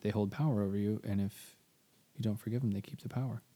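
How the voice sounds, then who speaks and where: With an American accent, a man speaks at a fairly low pitch in a dark, mellow tone with fairly even intonation, captured on a very clean recording over a silent background. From small-town Texas. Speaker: podcast co-host. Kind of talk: casual chat.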